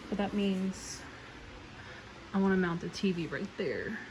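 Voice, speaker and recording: Over noticeable background noise and audible room echo, a woman speaks in a flat monotone. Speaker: nursing student vlogger. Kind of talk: casual vlog. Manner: soft-spoken.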